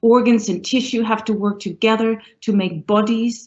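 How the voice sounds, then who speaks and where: A woman talks at a moderate pace in a fairly high, somewhat breathy voice. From northern Germany. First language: German. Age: middle-aged. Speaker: professor, university dean. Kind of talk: panel discussion.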